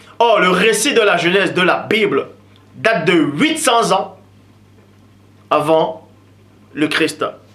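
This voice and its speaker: Noticeable background noise sits behind a man talking with ordinary pitch variation. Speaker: religious teacher. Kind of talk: lecture.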